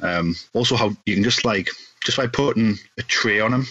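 A man with a Geordie accent. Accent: Geordie (Newcastle) English. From northeast England, Newcastle. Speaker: podcast host guesting on another show. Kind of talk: casual chat.

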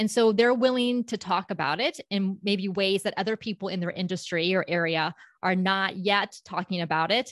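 A woman with an American accent, an ordinary speaking voice, medium pitch and ordinary pitch variation talks at a moderate pace with hardly any pauses. The sound is dry and close with no echo against a quiet background. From US South, South Florida (Palm Beach County). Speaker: public speaking coach and company founder. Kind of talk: interview.

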